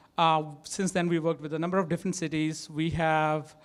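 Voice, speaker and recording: This man talks at a fairly quick pace with a strong Indian accent. His pitch sits fairly high. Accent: thick Indian. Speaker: tech startup co-founder and CTO. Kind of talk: conference talk. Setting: stage with audience. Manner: hesitant, many fillers.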